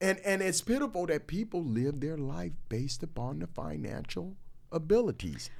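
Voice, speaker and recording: Intonation is lively and the pace moderate. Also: man, fairly high pitch for a man. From Los Angeles, California. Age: 60s. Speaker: retiree, podcast guest. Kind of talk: casual interview conversation. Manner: animated.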